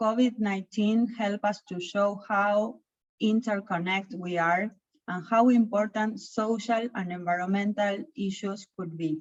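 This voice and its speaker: Somewhat breathy and at a fairly slow pace, a woman speaks with medium pitch and fairly even intonation. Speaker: chamber of commerce sustainability leader. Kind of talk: webinar presentation.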